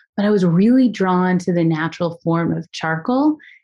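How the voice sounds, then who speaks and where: In an American accent, a woman with an ordinary speaking voice speaks at a moderate pace and fairly low pitch. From US Northeast, suburbs of Philadelphia. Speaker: artist and biophilic designer. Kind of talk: interview conversation.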